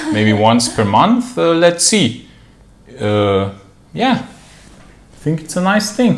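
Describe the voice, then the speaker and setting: Speaking at a very slow pace with long, frequent pauses, a man with a fairly high voice swings very widely in pitch over noticeable background noise. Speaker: YouTube channel co-host. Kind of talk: casual live-stream Q&A chat. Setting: live stream from their room. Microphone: room echo.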